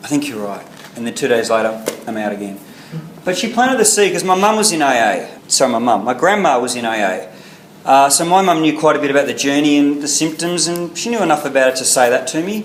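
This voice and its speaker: A man with an Australian accent, fairly high-pitched, talking very fast with very wide pitch swings, amid noticeable background noise and audible room echo. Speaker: recovering alcoholic speaker. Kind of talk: testimony. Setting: meeting with audience.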